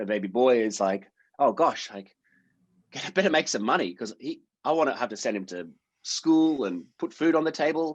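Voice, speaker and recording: The speech moves at a fairly quick pace, broken by long, frequent pauses, with very wide pitch swings. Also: man, fairly high pitch for a man. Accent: Australian. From Australia, Sydney. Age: 30s. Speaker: actor. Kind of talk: casual chat.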